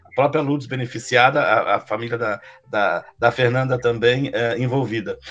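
A man speaks with noticeable background noise. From Taquari, Rio Grande do Sul, Brazil. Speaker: podcast host. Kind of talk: interview. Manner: halting.

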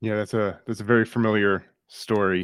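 A man at a moderate pace, with fairly low pitch. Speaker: podcast co-host. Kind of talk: interview.

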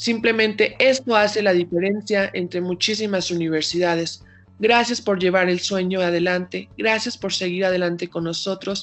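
A woman speaks at a moderate pace in an unremarkable speaking voice. Her pitch is medium, and it varies in an ordinary way. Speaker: university student radio host. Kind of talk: interview on university radio.

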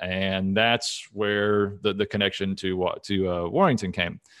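In a very clean recording with a silent background, a man with an American accent speaks in a normal speaking voice, fairly low in pitch, at a moderate pace with fairly even intonation. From Texas, Dallas. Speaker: options portfolio manager. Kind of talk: interview.

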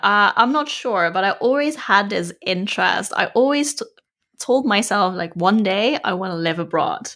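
A woman with a Dutch accent speaks at a moderate pace in a bright, sharp tone, her fairly high pitch making very wide swings. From Netherlands. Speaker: podcaster and digital nomad entrepreneur. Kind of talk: interview.

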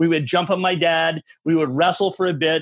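At a moderate pace, a man with an American accent speaks at a high pitch with ordinary pitch variation. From Michigan. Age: 40s. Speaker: massage therapist and movement coach. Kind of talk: casual interview. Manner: intense, energetic.

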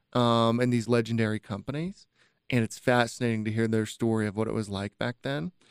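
A man at medium pitch with a Utah accent, fairly even intonation and a fairly quick pace, in dry, close sound with no echo. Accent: Utah American English. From Utah, Utah County (Spanish Fork). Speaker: tech community leader, CEO. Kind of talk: casual interview chat.

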